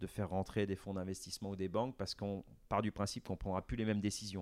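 A man with a dark, mellow tone and fairly low pitch speaks at a fairly quick pace in a very clean recording with a silent background and a dry, close sound with no echo. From France, Vendée. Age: 50s. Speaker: business executive. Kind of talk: interview.

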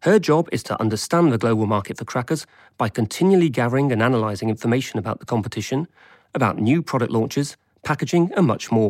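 In a very clean recording with a silent background, a man with an English accent talks very fast at a medium pitch, his intonation lively. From England. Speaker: podcast host. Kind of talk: scripted narration. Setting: outdoors.

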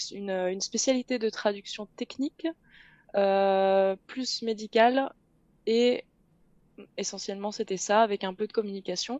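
A woman's dark, mellow tone at a fairly slow pace, ordinary pitch variation, and a dry, close sound with no echo. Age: 20s. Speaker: translator. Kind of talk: interview. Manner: hesitant, many fillers.

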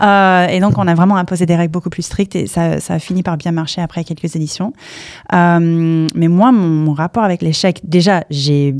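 In an English accent, a woman speaks at a moderate pace. Her pitch is fairly low, with ordinary variation. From US, Palo Alto, California. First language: English (speaking French). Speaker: startup campus director. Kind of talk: interview. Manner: halting.

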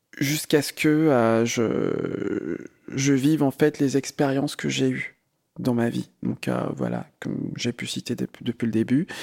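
A man talks at a very slow pace, the sound dry and close with no echo. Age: 30s. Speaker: podcast interviewee. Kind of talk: personal testimony. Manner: halting, many fillers.

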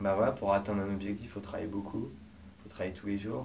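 A man with fairly low pitch, audible room echo around him. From France, Mayenne. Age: 20s. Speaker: startup coach. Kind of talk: interview.

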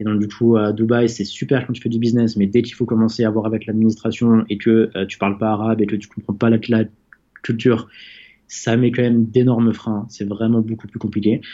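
A man's medium-pitched voice at a fairly quick pace, flat and monotone in intonation. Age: 20s. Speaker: entrepreneur. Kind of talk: interview. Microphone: connection dropped.

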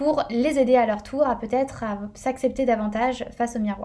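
Here a woman talks at a moderate pace. Her pitch is high and varies in an ordinary way. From northern France. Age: 20s. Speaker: podcast host. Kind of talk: personal monologue. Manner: casual with many fillers.

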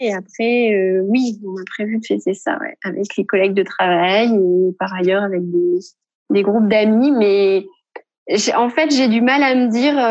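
A woman speaks in a normal speaking voice at a fairly slow pace, with medium pitch and ordinary pitch variation. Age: 40s. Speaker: radiologist. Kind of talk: recorded testimony.

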